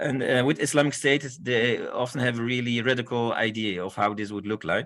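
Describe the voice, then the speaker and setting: Pitched at a medium level, a man's voice shifts with ordinary pitch variation. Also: fairly quick pace. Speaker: conference speaker. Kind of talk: lecture. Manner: halting.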